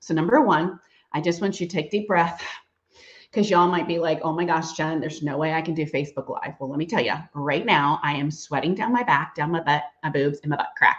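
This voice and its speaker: A woman's fairly low voice at a fairly quick pace. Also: ordinary pitch variation. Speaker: direct sales consultant. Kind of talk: live-stream training talk. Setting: Facebook live stream. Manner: fast; animated.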